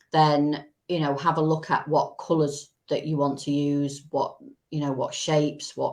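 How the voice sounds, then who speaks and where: A woman with a Manchester accent talks at a fairly slow pace in a very deep, low pitch. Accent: quite a Manchester. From Manchester, England. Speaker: business support company director. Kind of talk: live-stream interview.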